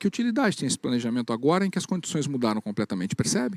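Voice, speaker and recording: The speaker talks at a very fast pace in a dark, mellow tone with very wide pitch swings, and the sound is dry and close with no echo. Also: man. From Paraná, Brazil. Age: 40s. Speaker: business speaker. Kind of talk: keynote talk.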